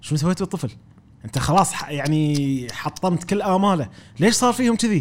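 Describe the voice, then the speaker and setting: This man talks at a moderate pace with a high pitch and lively intonation. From Kuwait. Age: 30s. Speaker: playwright and drama trainer. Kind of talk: casual interview.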